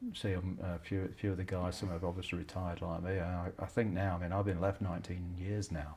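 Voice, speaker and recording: A man talks at a very fast pace with hardly any pauses, his very deep, low voice somewhat breathy and his intonation monotone and flat. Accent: English Midlands. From England, Leicester. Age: 70s. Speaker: retired police detective. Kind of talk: interview. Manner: halting.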